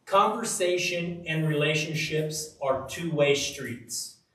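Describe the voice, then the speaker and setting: Very slow speech from a man with a fairly high voice, audible room echo around it. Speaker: Bible teacher. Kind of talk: sermon. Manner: loud; animated.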